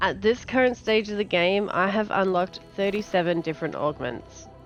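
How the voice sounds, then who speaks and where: A woman with an Australian accent speaks at a medium pitch and a moderate pace, with ordinary pitch variation. Music plays in the background. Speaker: gaming content creator. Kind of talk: casual game preview talk.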